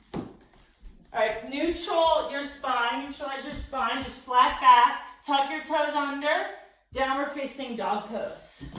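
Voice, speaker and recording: A woman's raised, projected voice, high in pitch with ordinary pitch variation and big swings in loudness, at a very slow pace amid audible room echo and noticeable background noise. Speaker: fitness and yoga instructor. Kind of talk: guided workout class.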